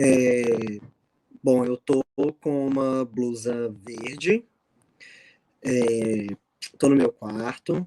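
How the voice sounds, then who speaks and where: In a Minas Gerais accent, the speaker goes at a very slow pace with long, frequent pauses and fairly even intonation, the sound dry and close with no echo. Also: man, medium pitch for a man. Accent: mineiro. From Minas Gerais, Brazil. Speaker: math teacher. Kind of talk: video call panel. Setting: video call from bedroom. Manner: halting.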